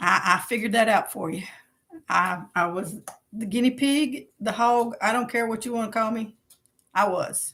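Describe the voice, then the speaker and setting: A woman with a Kentucky accent talks at a moderate pace in a bright, sharp, animated tone, her fairly high pitch showing ordinary variation. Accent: Kentucky Southern US. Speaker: podcast host. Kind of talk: casual solo livestream chat. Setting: livestream and podcast recording.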